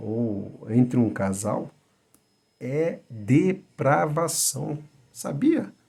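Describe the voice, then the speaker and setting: A soft-spoken man with a dark, mellow tone talks at medium pitch. His pace is very slow, yet his intonation is lively. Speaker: Bible teacher. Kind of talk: lecture. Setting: at home. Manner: halting.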